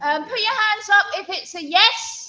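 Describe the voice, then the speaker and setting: At a very slow pace, a woman projects a raised voice, her pitch extremely high and her intonation lively. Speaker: church service leader. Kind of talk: interactive church talk with quiz. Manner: loud; halting, many fillers.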